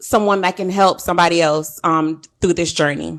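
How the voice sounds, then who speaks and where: A loud, bright, sharp voice at a fairly quick pace against a quiet background. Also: woman. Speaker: podcast host. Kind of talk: casual chat. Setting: live stream.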